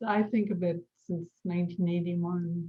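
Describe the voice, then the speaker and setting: Intonation stays fairly even throughout. This woman's voice is somewhat breathy. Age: 60s. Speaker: Montessori educator and midwife. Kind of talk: interview conversation.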